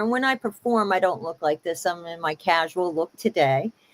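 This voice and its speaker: A woman's lively intonation comes through in a dry, close recording with no echo. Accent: New York. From US Northeast, Hudson Valley New York. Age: 60s. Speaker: singer-songwriter. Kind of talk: interview.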